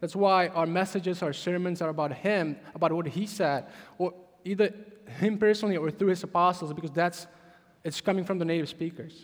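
This man has a Czech accent and a high pitch. He keeps a fairly quick pace with fairly even intonation. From Czech Republic. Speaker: pastor. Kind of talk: sermon. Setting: church.

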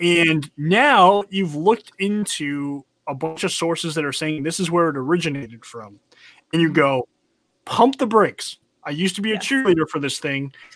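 Over a silent background in a very clean recording, a man with an American accent speaks with a high pitch, lively intonation and a moderate pace. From North Carolina. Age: 30s. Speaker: podcast host. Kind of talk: casual chat.

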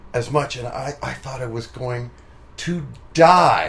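At a fairly slow pace, a man speaks in a somewhat breathy voice with ordinary pitch variation. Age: 40s. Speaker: musician and podcast host. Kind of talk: casual interview. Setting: home studio.

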